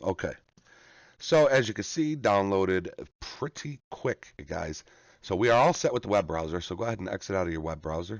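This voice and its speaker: With vocal fry and very wide pitch swings, a man speaks at a moderate pace in a dry, close sound with no echo. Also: quiet background. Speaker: gaming tutorial youtuber. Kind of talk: tutorial. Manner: casual, halting with fillers.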